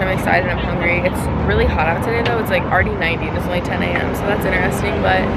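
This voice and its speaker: Loud background noise accompanies a woman talking at a very fast pace, the sound dry with no echo. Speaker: vlogger. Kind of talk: casual vlog chat. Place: street. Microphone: phone near.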